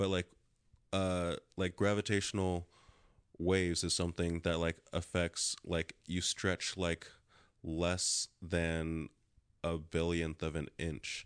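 Over a quiet background, a man with a very deep, low voice speaks at a very slow pace in a monotone, flat intonation, with long, frequent pauses and a dry, close sound with no echo. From Los Angeles area, California. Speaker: actor and comedian. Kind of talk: casual chat.

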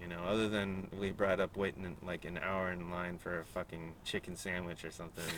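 Speaking with an American accent, this man has a very deep, low pitch and monotone, flat intonation. He talks with hardly any pauses. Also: fairly quick pace. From San Diego, California. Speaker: podcast producer and co-host. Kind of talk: casual chat.

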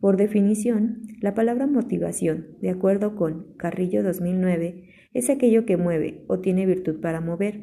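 At a fairly slow pace and with hardly any pauses, a woman speaks in a dark, mellow, somewhat breathy tone. Her pitch sits at a medium level with ordinary variation. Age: 20s. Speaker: environmental engineer and chemistry tutor. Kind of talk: scripted presentation. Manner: formal.

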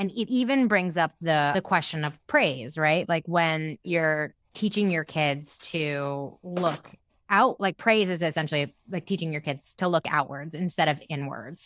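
Fairly low in pitch, a woman speaks in an ordinary speaking voice with ordinary pitch variation at a fairly slow pace. The recording is very clean, with a silent background. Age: 30s. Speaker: podcast host. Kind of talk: casual chat.

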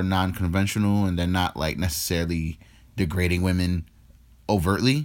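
A man speaks with a very deep, low pitch and an American accent. His intonation is fairly even, and the recording is very clean with a silent background. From New York, the Bronx. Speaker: podcast co-host. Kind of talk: casual chat.

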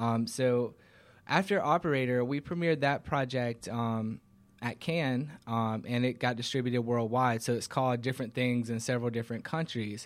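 A plain, everyday voice in an American accent keeps a moderate pace with ordinary pitch variation. The recording is very clean, with a silent background. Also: man, medium pitch for a man. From Georgia, US South (Covington). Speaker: film and TV producer, company founder. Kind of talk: talk show interview. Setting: studio.

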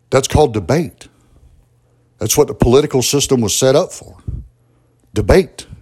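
Speaking with a Southern US accent, a man with a dark, mellow, somewhat breathy tone talks at a moderate pace and medium pitch, with ordinary pitch variation, big swings in loudness, and long, frequent pauses. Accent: Southern US (Georgia). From US South, southwest Georgia (Albany). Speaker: podcast host. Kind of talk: solo political commentary monologue. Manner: conversational, with frequent fillers and repetitions.

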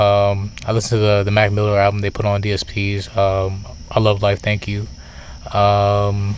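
Through noticeable background noise, a man with a fairly low pitch speaks in a flat monotone at a moderate pace. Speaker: podcast co-host. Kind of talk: casual chat. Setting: outdoors.

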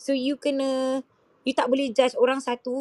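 The speaker is a woman. Her voice sits at a high pitch. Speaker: podcast co-host. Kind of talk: casual chat. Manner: halting.

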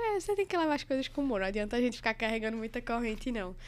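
The speaker talks at a very fast pace with a Recife accent. The intonation is lively. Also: woman. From Recife, Pernambuco, Brazil. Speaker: anesthesiology resident doctor. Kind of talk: casual chat.

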